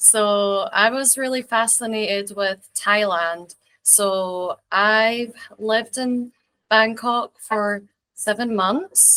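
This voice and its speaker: A woman speaks very slowly in a slight Scottish accent, her pitch fairly high. Her tone is bright and sharp, with fairly even intonation. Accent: mild Scottish. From Scotland, rural village near English border. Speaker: English teacher and video creator. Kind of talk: casual interview chat. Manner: hesitant, many fillers.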